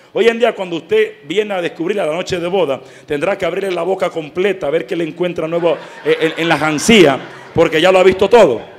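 Fairly quick male speech, high in pitch with ordinary pitch variation, over noticeable background noise. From Dominican Republic. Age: 20s. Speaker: lay pastoral associate, catechist. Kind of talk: catechetical talk to parents.

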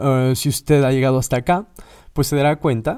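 A man at medium pitch, fairly quick pace and ordinary pitch variation, on a very clean recording with a silent background. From Mexico. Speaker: podcast host, philologist. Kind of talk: solo podcast monologue. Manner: halting, many fillers.

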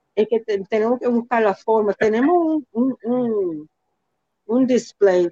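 The voice carries lively intonation in a dry, close sound with no echo. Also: woman. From New York (Bronx) and New Jersey, Dominican parents. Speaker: community leader and consultant. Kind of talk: interview.

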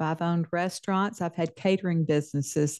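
Over a quiet background, a woman in a Southern US accent speaks at a moderate pace and medium pitch. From Mississippi, US South. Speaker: novelist. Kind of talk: interview.

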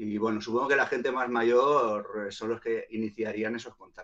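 A man's medium-pitched voice at a moderate pace. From Barcelona, Spain. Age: 40s. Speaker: hip hop artist and producer. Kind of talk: casual interview. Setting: live online stream.

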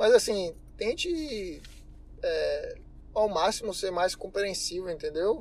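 A man speaks at a very slow pace. His delivery is broken by long, frequent pauses. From Bahia, Brazil. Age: 20s. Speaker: mechanical engineer. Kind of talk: interview.

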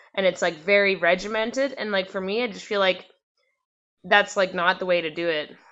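A woman's plain, everyday voice, medium in pitch, at a moderate pace. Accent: Canadian. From Canada, British Columbia (North Vancouver, Squamish, Port Hardy). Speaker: singer and musician. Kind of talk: casual interview. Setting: video call. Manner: casual, filler-heavy with frequent likes and ums.

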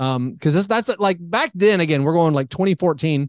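Against a quiet background, a man with a plain, everyday voice talks at a fairly quick pace with lively intonation, the sound dry and close with no echo. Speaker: sports podcaster guest. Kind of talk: casual sports chat. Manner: conversational, wry, humorous.

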